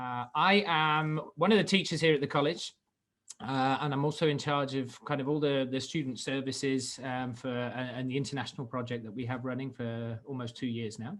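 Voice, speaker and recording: A man speaks at a moderate pace with a British accent. His pitch is medium, and it varies in an ordinary way. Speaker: college teacher and international program coordinator. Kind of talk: webinar presentation. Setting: video call webinar. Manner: hesitant, many fillers and repeated words.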